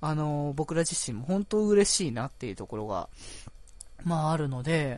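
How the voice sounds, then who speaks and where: Speaking at a moderate pace, a man with an unremarkable speaking voice and fairly high pitch uses lively intonation. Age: 20s. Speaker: podcast host. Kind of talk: casual solo talk. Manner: relaxed, laid-back pace; frequent laughter and fillers.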